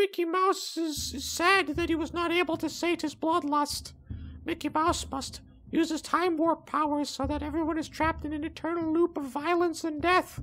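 A squeaky, high-pitched put-on character voice speaks at a moderate pace. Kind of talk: comedic gameplay commentary. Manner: menacing, bloodthirsty.

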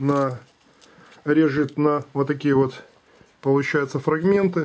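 A man talks at a fairly slow pace. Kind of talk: tutorial. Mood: amused, dismissive of critics. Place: workshop. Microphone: phone near.

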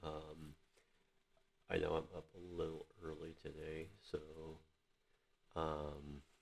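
A quiet man with a very deep, low pitch, monotone flat intonation, a very slow pace and long, frequent pauses. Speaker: vlogger. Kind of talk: casual product review vlog. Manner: quiet, low voice; hesitant, many fillers. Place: home room. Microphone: webcam.

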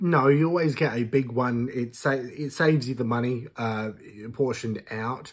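This man speaks with an Australian accent at a moderate pace, his pitch medium with ordinary variation. The background is quiet. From Western Australia. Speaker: YouTuber, reaction commentator. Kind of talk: reaction commentary. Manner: animated. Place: home room.

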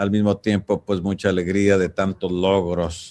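Monotone and flat, a man speaks at a fairly low pitch and a fairly slow pace. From Michoacán, Mexico. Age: 60s. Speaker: singer-songwriter. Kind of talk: interview answer. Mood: warm, reflective, nostalgic. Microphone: video call.

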